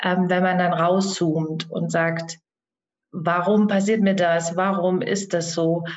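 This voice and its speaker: A woman speaks at a very slow pace with a medium pitch. Room echo can be heard. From Germany, Thuringia. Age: 40s. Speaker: soul guide and coach. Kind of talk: podcast interview.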